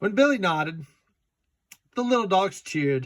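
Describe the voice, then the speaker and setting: A man is speaking. He has a Southern US accent. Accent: Southern US drawl. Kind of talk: children's picture book read-aloud. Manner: casual, joking asides.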